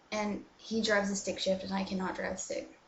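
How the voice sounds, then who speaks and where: A woman with an American accent at a fairly quick pace, amid noticeable background noise and audible room echo. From USA. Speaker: vlogger. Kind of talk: casual chat. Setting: bathroom. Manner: filler-heavy. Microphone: laptop mic, echo.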